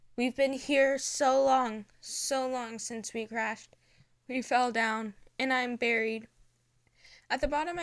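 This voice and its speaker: Putting on a robotic character voice, a woman talks at a fairly slow pace and high pitch, leaving long, frequent pauses. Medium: read story. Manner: each word jarringly distinct.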